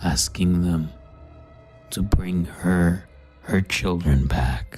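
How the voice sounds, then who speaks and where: Very deep, low pitch in a put-on character voice, very slow pace, faint music in the background. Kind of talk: horror narration. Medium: read story. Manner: solemn, measured.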